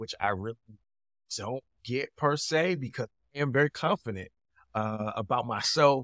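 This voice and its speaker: A man talks at a moderate pace against a quiet background. The sound is dry, with no echo. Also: lively intonation. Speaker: podcast guest. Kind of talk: interview answer. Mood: upbeat, smiling. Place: home room.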